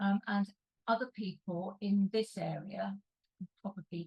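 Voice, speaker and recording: Speaking at a fairly slow pace, a woman has a medium pitch, a dark, mellow tone and a somewhat breathy quality, with a dry, close sound and no echo. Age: 70s. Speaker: party member. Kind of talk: casual chat. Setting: video call.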